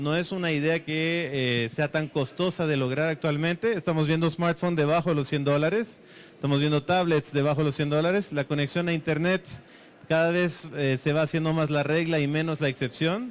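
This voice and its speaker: With very even loudness and fairly even intonation, a man speaks at a fairly high pitch. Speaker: conference speaker. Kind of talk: conference talk. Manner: fast.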